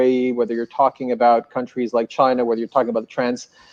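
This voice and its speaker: A man's medium-pitched voice with a French Canadian accent. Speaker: hotel group commercial executive. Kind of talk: panel discussion. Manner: halting, many repeated words.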